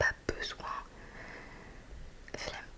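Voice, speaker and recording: A woman whispers at a very slow pace in a relaxed tone. Noticeable background noise is present. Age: 20s. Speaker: ASMR creator. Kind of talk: casual talk to camera, ASMR review. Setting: studio, close microphone. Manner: soft-spoken, relaxed, chatty.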